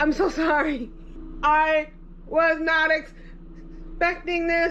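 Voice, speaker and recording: A woman speaks with an extremely high pitch at a very slow pace. There is noticeable background noise. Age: 60s. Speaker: podcast host. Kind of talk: unboxing monologue. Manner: animated.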